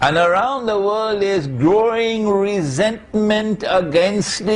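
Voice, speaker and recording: The speech comes at a very slow pace with lively intonation, and room echo can be heard. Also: man. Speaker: Islamic scholar. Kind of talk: lecture.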